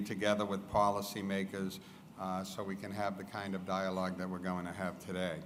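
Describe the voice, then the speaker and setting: A man with a Boston accent speaks amid noticeable background noise and audible room echo. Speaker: business association president, event host. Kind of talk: event introduction speech. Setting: stage with live audience.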